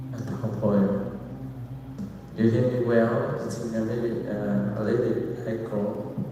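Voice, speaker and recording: Amid noticeable background noise and audible room echo, a man speaks at a very slow pace in a medium pitch with ordinary pitch variation. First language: Vietnamese. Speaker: Buddhist monk giving dharma talk. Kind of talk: dharma talk. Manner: halting. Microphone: slight echo.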